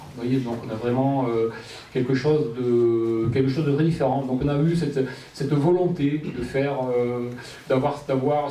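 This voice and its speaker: A man with a southwestern French accent speaks at a fairly high pitch and a moderate pace with fairly even intonation. Audible room echo and noticeable background noise come through. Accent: southwestern French, kept. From Gironde, southwest France. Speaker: local election candidate. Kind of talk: public speech. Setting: public meeting with audience. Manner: halting, many fillers.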